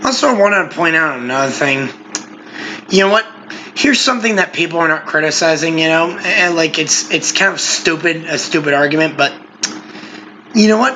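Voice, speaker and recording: Against noticeable background noise, a high-pitched man speaks at a fairly quick pace with long, frequent pauses, lively intonation and very even loudness. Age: 20s. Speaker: podcast co-host. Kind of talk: casual chat.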